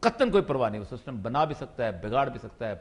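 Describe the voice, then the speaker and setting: A man's voice carries vocal fry and swings very widely in pitch. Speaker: political talk show panelist. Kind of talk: talk show debate. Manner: animated.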